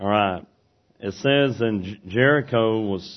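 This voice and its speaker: The speaker talks at a very slow pace in a Southern US accent, with ordinary pitch variation. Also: man. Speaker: preacher. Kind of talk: sermon. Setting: church.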